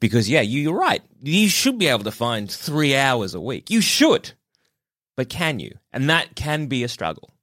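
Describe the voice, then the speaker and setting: Speaking at a moderate pace with an Australian accent, a man uses a fairly high pitch, very wide pitch swings and vocal fry, all in a very clean recording with a silent background. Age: 30s. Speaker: fill-in podcast co-host. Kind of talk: casual chat.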